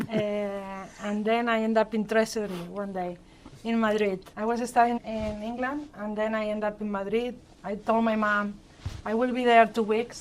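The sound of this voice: A woman speaks in a Spanish accent at a moderate pace. Her pitch shows little movement. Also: medium pitch for a woman.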